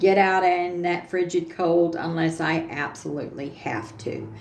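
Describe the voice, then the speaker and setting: With audible room echo, a woman speaks at a fairly low pitch and a very slow pace. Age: 60s. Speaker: craft tutorial youtuber. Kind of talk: casual tutorial livestream. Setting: home studio. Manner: halting, many fillers.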